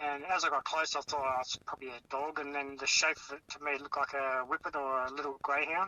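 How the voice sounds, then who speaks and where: A man with an Australian accent races along at a very fast pace with hardly any pauses. His voice sits fairly high, and his intonation stays fairly even. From Tasmania. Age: 40s. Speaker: eyewitness. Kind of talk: phone interview recounting.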